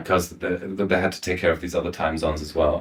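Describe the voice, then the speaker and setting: A man's somewhat breathy, monotone voice with flat intonation and a German accent. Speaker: voice actor. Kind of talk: interview answer.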